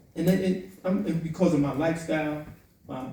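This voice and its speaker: A man speaks at a very fast pace and fairly high pitch with audible room echo. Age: 60s. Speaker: formerly incarcerated advocate. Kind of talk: panel discussion. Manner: impassioned.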